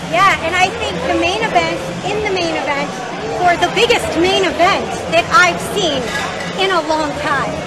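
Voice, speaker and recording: The speaker keeps a moderate pace. Loud background noise fills the recording. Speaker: show host interviewer. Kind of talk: casual interview questions. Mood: cheerful, animated. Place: hall.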